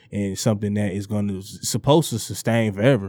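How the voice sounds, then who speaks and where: The delivery keeps a fairly even intonation with a dark, mellow tone. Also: man, very clean recording, silent background. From Detroit east side, Michigan. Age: 30s. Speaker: entrepreneur. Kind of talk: casual interview chat.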